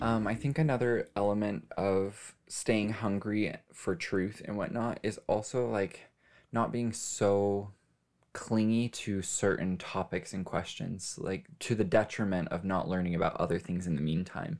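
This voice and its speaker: At a fairly slow pace, a man speaks in a plain, everyday voice, fairly low in pitch, with ordinary pitch variation. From US West, Las Vegas. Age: 20s. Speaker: podcast guest. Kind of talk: casual interview.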